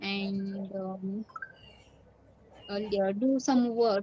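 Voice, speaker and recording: A woman speaks with fairly even intonation. Behind her there is noticeable background noise. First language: Marathi. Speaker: English learner. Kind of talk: English speaking practice. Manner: halting, many fillers.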